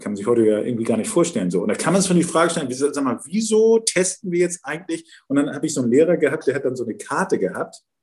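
A man talks at a very fast pace with hardly any pauses, his pitch fairly high and swinging very widely. Vocal fry runs through his voice. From Hamburg-Wilhelmsburg, northern Germany. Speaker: member of parliament. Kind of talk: interview. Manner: hesitant, many fillers and repetitions.

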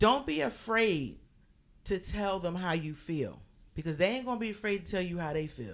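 A woman with an American accent, fairly low pitch, vocal fry, lively intonation, and a moderate pace. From Philadelphia. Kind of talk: casual interview.

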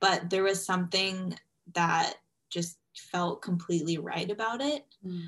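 A woman with a Californian accent at a medium pitch, with ordinary pitch variation and a fairly slow pace. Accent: Californian American. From US West Coast, Los Angeles. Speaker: former anorexia patient, coaching client. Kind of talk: interview testimony.

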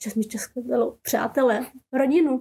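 A woman talks in a Persian accent. Noticeable background noise is present. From Czechia, raised in Šumperk after fleeing Afghanistan. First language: Persian (speaking Czech). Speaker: journalist. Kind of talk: interview.

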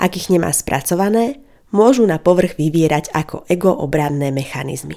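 A woman with a dark, mellow tone and fairly low pitch speaks at a moderate pace with lively intonation. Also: very clean recording, silent background. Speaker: psychology podcaster and counsellor. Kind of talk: educational monologue. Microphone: good quality microphone.

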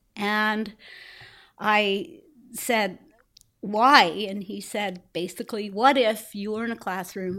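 A woman talks at a fairly slow pace with a bright, sharp tone and a fairly high pitch. The recording is very clean, with a silent background. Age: 60s. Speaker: blind photographer and activist. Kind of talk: casual interview chat.

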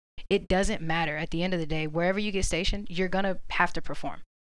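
Very fast and with an American accent, a woman speaks at a medium pitch with fairly even intonation. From Orlando, Florida. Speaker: Marine recruiter. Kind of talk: casual panel discussion.

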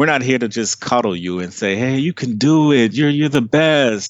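In an American accent, a man uses an ordinary speaking voice at medium pitch with lively intonation. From Maryland, near Washington DC (Trinidadian family). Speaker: life coach. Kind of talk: interview. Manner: casual.

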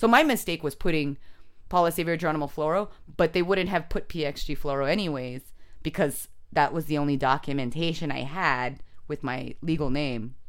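This voice, in a Californian accent, moves at a fairly quick pace with ordinary pitch variation. The recording is very clean, with a silent background. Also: woman, very deep, low pitch for a woman. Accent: Californian American. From San Jose, California. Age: 30s. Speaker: comedian. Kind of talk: casual chat.

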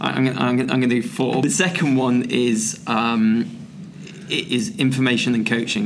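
There is audible room echo and noticeable background noise. A man speaks at a medium pitch in an English accent. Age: 40s. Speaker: strength and conditioning coach. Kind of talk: casual chat. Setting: conference venue.

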